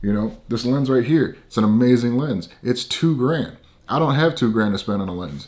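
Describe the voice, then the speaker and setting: A man speaks at a moderate pace. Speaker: filmmaker and gear reviewer. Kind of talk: product review. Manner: mumbles sometimes; casual, conversational.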